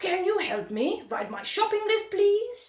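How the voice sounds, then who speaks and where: A woman does a put-on character voice with an extremely high pitch at a fairly slow pace. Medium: read story. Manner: polite, mild.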